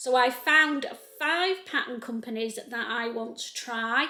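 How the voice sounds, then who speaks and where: Speaking at a very slow pace in a Lancashire accent, a woman uses a high pitch with ordinary pitch variation. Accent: North Lancashire. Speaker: sewing youtuber. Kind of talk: casual tutorial-style chat. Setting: home sewing room.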